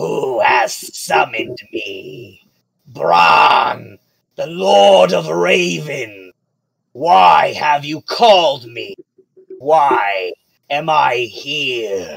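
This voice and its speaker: Very slow, drawn-out delivery from a man doing a put-on character voice. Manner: commanding, looming.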